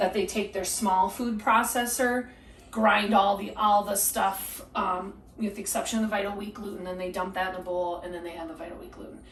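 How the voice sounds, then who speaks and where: Audible room echo and noticeable background noise accompany a woman who speaks fairly quickly. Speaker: cooking vlogger. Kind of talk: cooking tutorial. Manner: whispering; halting, many fillers.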